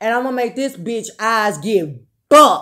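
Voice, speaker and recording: A woman speaks loudly. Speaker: vlogger. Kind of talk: casual monologue.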